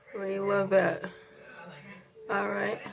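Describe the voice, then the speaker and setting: Over music in the background, a woman with a medium-pitched voice talks at a moderate pace. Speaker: beauty vlogger. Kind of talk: casual makeup tutorial talk to camera.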